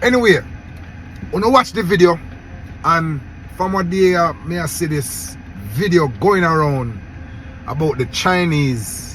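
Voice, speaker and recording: A man with a Jamaican accent and lively intonation at a moderate pace, amid noticeable background noise. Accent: Jamaican Patois-accented English. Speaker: YouTube commentator. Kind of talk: casual commentary vlog.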